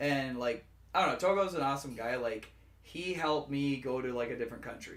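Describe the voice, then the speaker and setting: Audible room echo around a man's fairly high voice, fairly quick in pace and ordinary in pitch variation. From Fort Berthold reservation, North Dakota. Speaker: musician. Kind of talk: casual interview chat. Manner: hesitant, many fillers.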